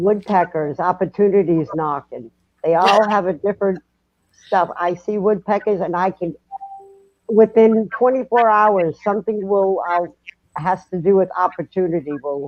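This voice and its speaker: Someone with a Massachusetts accent talks at a moderate pace. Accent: Massachusetts, still noticeable. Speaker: paranormal podcast guest. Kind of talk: casual chat.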